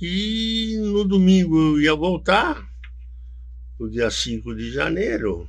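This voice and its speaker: Audible room echo surrounds a man talking at a very slow pace. He leaves long, frequent pauses. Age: 70s. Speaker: events business executive. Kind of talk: podcast interview. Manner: halting.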